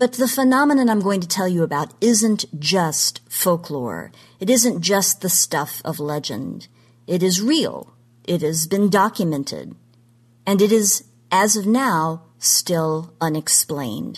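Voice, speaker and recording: With a normal speaking voice, a woman talks at a fairly slow pace and medium pitch, her intonation lively against a quiet background. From Oklahoma. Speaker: genre history commentator. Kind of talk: scripted segment talk.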